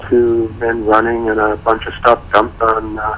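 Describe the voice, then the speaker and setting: Noticeable background noise runs through the clip. Over it, a man talks. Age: 60s. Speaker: retired photographer, interviewee. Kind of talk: radio interview.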